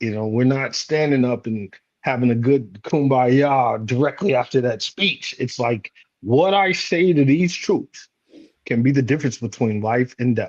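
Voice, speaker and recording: A man's ordinary speaking voice with an American accent, medium-pitched and fairly slow, with ordinary pitch variation. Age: 40s. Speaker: leadership coach and retired Marine. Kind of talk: panel discussion.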